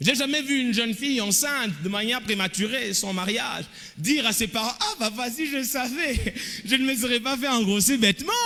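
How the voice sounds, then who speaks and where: Projecting a raised voice at a moderate pace, a man speaks at an extremely high pitch with ordinary pitch variation over noticeable background noise. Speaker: pastor. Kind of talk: sermon.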